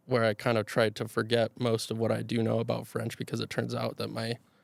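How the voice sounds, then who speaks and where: This very clean recording of a man has a silent background. Its sound is dry and close, without any echo. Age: 20s. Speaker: college student. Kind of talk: casual interview chat. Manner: slow talker.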